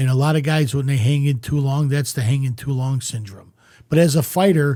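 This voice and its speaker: On a very clean recording with a silent background, a man with a fairly high pitch and a dark, mellow, somewhat breathy tone speaks at a fairly quick pace. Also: fairly even intonation. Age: 60s. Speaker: former boxer and promoter. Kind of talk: casual chat.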